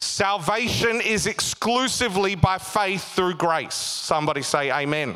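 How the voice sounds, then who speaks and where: Over noticeable background noise, a man with an Australian accent speaks in an animated tone at a high pitch with lively intonation, his pace fairly slow yet with hardly any pauses. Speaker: pastor. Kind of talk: sermon, preached live to a congregation with call-and-response and jokes. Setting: church with live congregation. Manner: animated, humorous, pausing to quip and prompt the crowd.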